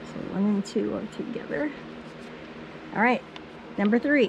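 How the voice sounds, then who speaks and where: Against noticeable background noise, a woman speaks in a fairly high pitch with ordinary pitch variation. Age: 70s. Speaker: quilt business owner. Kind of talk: tutorial. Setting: home studio.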